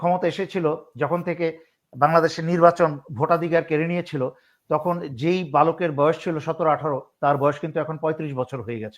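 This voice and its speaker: On a very clean recording with a silent background, a man uses an ordinary speaking voice, fairly high-pitched, with fairly even intonation. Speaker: retired army officer and political commentator. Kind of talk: political interview commentary.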